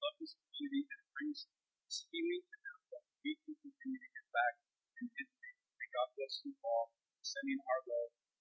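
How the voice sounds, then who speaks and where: A man speaks at a moderate pace with big swings in loudness, his voice dry and close with no echo while music plays in the background. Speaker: pastor. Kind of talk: sermon. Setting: church.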